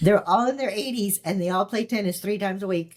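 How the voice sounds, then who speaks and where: In an unremarkable speaking voice, a woman talks at a medium pitch with ordinary pitch variation. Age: 60s. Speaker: alcohol-free mindset and longevity coach, former flight attendant. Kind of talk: casual chat.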